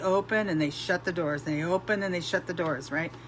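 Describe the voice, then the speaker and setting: With music in the background, a woman talks at a moderate pace with fairly even intonation. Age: 60s. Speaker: network marketing promoter. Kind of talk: testimony. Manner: casual, conversational.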